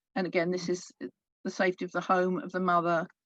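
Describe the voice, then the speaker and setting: Soft-spoken delivery comes through with a dry, close sound and no echo. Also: woman. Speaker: pagan speaker at interfaith event. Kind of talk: talk.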